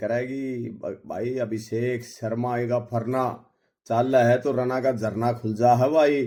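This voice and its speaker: Medium-pitched male voice with a Haryana accent and a dark, mellow tone, on a very clean recording with a silent background. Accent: Haryanvi. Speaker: cricket commentator. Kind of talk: cricket match preview. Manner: energetic, rhyming.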